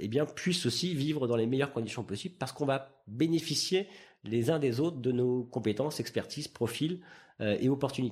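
Against a quiet background, a man speaks at a moderate pace and medium pitch with lively intonation. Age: 40s. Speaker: entrepreneur. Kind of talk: interview. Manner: hesitant, many fillers.

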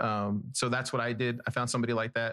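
A man with an American accent speaks at a very fast pace in a medium pitch. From South Texas. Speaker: podcaster and investigative reporter. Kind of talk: casual chat.

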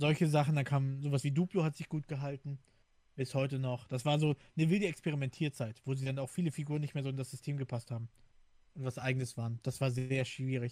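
A man with a fairly high pitch speaks at a very fast pace and fairly even intonation. His tone is dark, mellow and somewhat breathy, heard dry and close with no echo. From Hamburg, northern Germany. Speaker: podcast co-host. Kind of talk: casual chat.

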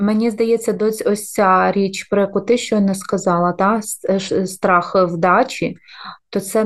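A woman speaks at a medium pitch and a fairly slow pace, with an ordinary speaking voice. Her intonation is fairly even. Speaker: podcast co-host, mother, former diplomat. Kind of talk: casual chat.

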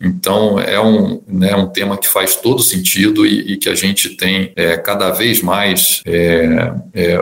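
There is noticeable background noise as a man speaks with hardly any pauses. His pitch is fairly low and his intonation fairly even. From Rio de Janeiro, Brazil. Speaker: transport company executive. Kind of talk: interview. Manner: hesitant, many repeated fillers.

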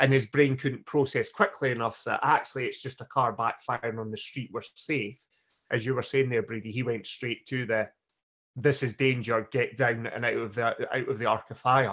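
This man has an ordinary speaking voice at a medium pitch for a man. He keeps a moderate pace and a fairly even intonation. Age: 40s. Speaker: podcast co-host. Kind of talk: casual podcast chat.

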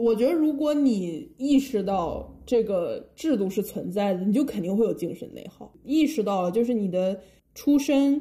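A woman speaks at fairly high pitch with a dark, mellow tone and a somewhat breathy quality. Her intonation is lively and her loudness swings widely. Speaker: podcast co-host. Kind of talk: casual chat.

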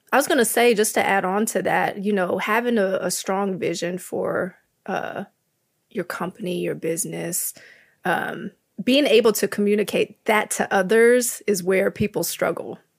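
In a very clean recording with a silent background, a woman of medium pitch talks at a moderate pace in an unremarkable speaking voice. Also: ordinary pitch variation. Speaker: graphic designer. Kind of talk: casual panel discussion.

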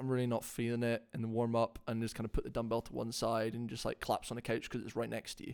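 A man speaks at a medium pitch with a Scottish accent. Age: 20s. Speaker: CrossFit athlete and coach. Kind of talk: casual chat.

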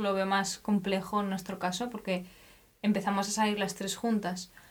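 This woman's pitch is medium and her pace moderate. Her delivery is flat and monotone. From Spain. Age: 20s. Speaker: podcast co-host. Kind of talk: casual chat.

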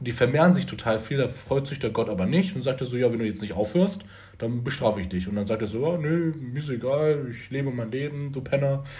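Over noticeable background noise and audible room echo, a man talks fairly quickly in a fairly high voice with lively intonation. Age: 20s. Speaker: podcast host. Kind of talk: casual chat.

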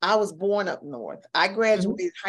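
A woman speaks in a warm, enthusiastic tone. Vocal fry runs through her voice. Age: 70s. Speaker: podcast host. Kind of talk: casual interview chat.

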